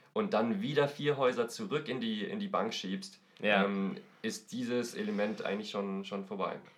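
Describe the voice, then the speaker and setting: At a moderate pace, a man with a medium pitch swings very widely up and down. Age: 20s. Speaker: board game podcast guest. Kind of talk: casual chat.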